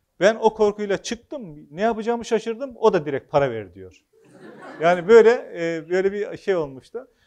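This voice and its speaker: Against a quiet background, a man with a high pitch talks at a moderate pace, his intonation lively and his loudness swinging widely. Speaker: author and former local official; speaker. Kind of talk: public talk; public talk, storytelling. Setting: hall with live audience. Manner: hesitant, frequent filler sounds. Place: hall. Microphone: lapel.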